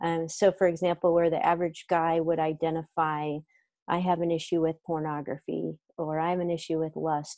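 A woman talks at a fairly quick pace in a fairly low pitch with a dark, mellow tone and a dry sound with no echo. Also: quiet background. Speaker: remote interview guest. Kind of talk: interview answer. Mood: warm, thoughtful. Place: home room. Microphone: earbuds.

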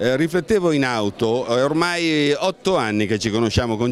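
Lively intonation at a moderate pace, a dry sound with no echo, light background noise. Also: man. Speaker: art catalogue editor. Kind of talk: public speech. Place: hall. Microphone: handheld.

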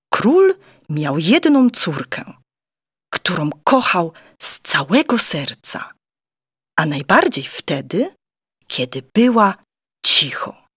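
Pitched medium with very wide swings, a woman speaks very slowly with long, frequent pauses, in a dry, close sound with no echo on a very clean recording with a silent background. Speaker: audiobook narrator. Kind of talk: children's picture book reading.

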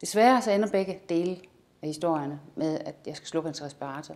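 A woman's fairly low voice with lively intonation at a fairly quick pace. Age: 50s. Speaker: amateur actor. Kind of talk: self-presentation. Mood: warm, calm. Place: studio.

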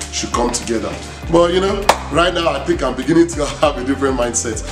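A man speaks while music plays clearly in the background. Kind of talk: casual walkthrough tour. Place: home room. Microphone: camera far.

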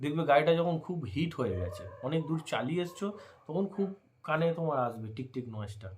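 Lively in intonation, a man speaks at a fairly high pitch in a plain, everyday voice. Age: 30s. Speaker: bike vlogger. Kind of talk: tutorial. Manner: casual, repetitive.

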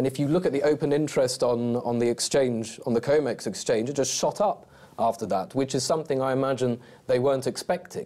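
Speaking at a fairly quick pace in a dark, mellow tone, a man keeps a medium pitch, ordinary pitch variation and very even loudness. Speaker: gold market analyst. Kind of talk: interview.

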